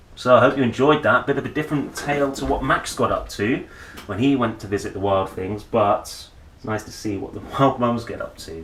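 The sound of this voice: A man talks at a fairly quick pace with a medium pitch and ordinary pitch variation. His tone is fairly bright, and audible room echo surrounds him.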